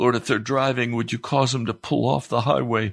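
This voice has vocal fry and ordinary pitch variation against a quiet background. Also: man. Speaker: radio preacher. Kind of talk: fervent prayer. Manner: urgent, impassioned, pleading.

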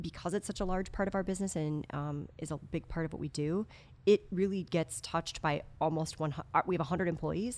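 A woman's normal speaking voice, fairly low and fairly even in intonation, on a very clean recording with a silent background. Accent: American. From Wisconsin, outside Madison. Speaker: music store executive. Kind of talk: casual interview.

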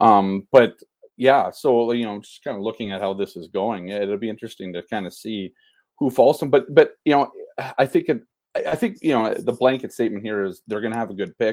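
A man's plain, everyday voice at a medium pitch, with ordinary pitch variation, big swings in loudness and a fairly quick pace. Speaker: sports journalist. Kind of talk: casual chat. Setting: remote call.

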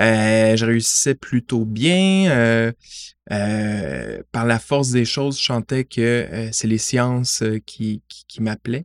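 A man with a medium pitch speaks at a very slow pace. His pitch varies in an ordinary way over a quiet background. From Montreal, Quebec (LaSalle). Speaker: science media relations adviser. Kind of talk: interview. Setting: in person.

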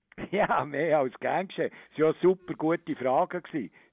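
A man's normal speaking voice, fairly high in pitch, with ordinary pitch variation at a moderate pace. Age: 60s. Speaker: zoo director. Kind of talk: interview. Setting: phone call.

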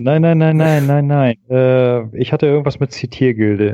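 This man's dark, mellow tone carries ordinary pitch variation. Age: 40s. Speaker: podcast guest. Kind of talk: casual chat.

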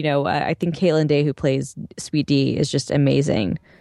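A woman speaks with a very deep, low pitch. The sound is dry and close, with no echo. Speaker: podcast co-host. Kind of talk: casual chat; sponsor read. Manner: fast.

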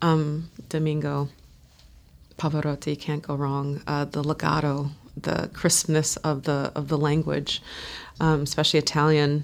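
Speaking with an American accent at a fairly slow pace, a woman has a very deep, low pitch and monotone, flat intonation. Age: 30s. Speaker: opera singer. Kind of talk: casual chat.

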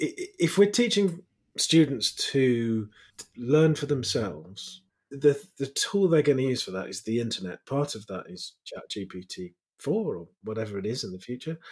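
Medium-pitched male voice at a moderate pace, somewhat breathy, with very wide pitch swings and big swings in loudness. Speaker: podcast host. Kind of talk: interview.

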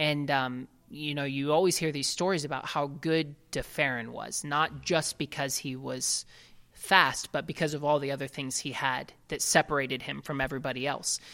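In a very clean recording with a silent background, a man with an American accent speaks at a moderate pace, his fairly high voice bright and sharp in tone, his intonation fairly even. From Ohio, US Midwest. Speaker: racing driver. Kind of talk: interview. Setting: at the guest's home.

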